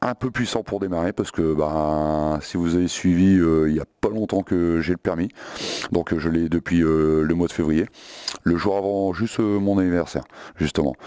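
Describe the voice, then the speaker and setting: A man's very deep, low pitch at a moderate pace, with very even loudness, fairly even intonation and a dry, close sound with no echo. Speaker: motorcycle vlogger. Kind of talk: casual Q&A video. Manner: hesitant, many filler words.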